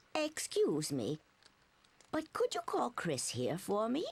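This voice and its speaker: A put-on character voice with a gentle tone moves at a fairly slow pace. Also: woman, high pitch for a woman. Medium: video game. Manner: gentle, polite, wavering.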